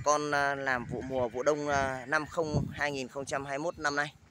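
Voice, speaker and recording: This man's voice sounds dry with no echo, even amid loud background noise. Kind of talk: product promo commentary. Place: street. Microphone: phone near.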